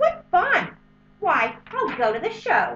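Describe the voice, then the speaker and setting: Very wide pitch swings mark this put-on character voice. The pace is fairly slow. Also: woman. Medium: read story.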